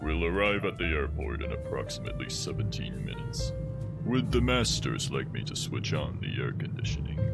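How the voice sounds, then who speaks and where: Over loud background music, a man speaks fairly quickly in a put-on character voice. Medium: audio drama. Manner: formal, deferential.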